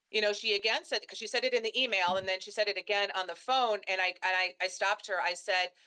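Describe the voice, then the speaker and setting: A woman speaks loudly at a fairly quick pace. Her tone is animated, bright and sharp, with a dry, close sound and no echo. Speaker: dentist. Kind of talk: interview. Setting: live stream.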